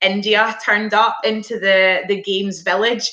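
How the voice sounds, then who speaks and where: A woman with a Scottish accent speaks fairly slowly in a monotone, flat intonation, her fairly high voice bright and sharp. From Scotland. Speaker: former international hockey player. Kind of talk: Q&A interview.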